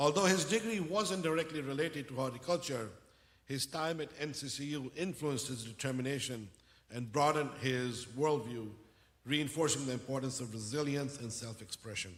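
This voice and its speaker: Somewhat breathy, a man speaks at a fairly high pitch and a moderate pace with ordinary pitch variation. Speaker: university dean. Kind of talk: formal welcome speech. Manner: formal.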